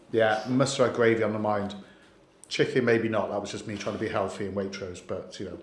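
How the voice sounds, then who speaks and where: Audible room echo surrounds a man who talks at a fairly quick pace with fairly even intonation. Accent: Welsh. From Wales. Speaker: lender sales host. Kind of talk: casual chat.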